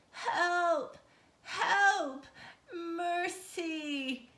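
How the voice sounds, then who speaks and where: An extremely high, female-sounding put-on character voice. Echo can be heard around it. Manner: desperate, pleading.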